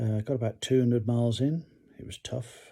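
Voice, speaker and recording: A somewhat breathy, dark, mellow voice with an English accent and ordinary pitch variation, in a very clean recording with a silent background. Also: man. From UK. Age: 60s. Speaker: retired pilot and hiker vlogger. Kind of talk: casual vlog talk, partly read from notes. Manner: halting with many fillers.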